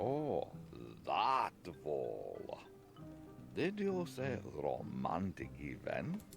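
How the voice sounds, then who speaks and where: A man in a put-on character voice talks at a very slow pace with long, frequent pauses while clear music plays in the background. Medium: video game.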